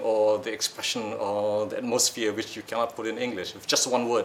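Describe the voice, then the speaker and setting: Noticeable noise runs behind a man who talks at a fairly quick clip. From Malaysia or Singapore, Malay community. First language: Malay. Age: old. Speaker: audience member at book discussion. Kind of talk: audience question at book discussion. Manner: halting.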